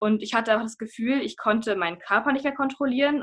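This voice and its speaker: Very fast female speech at a fairly high pitch with ordinary pitch variation. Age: 20s. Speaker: mental health influencer. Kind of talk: interview.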